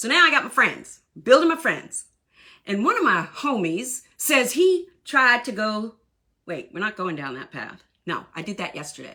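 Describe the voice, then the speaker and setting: A woman with a Southern US accent speaks at a moderate pace in an animated, bright, sharp tone, her fairly high pitch swinging very widely, with vocal fry and big swings in loudness. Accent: sounds Southern US. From southern Maine, US. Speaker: Army veteran and workshop coach. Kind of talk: live online workshop talk. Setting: livestream. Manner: talkative.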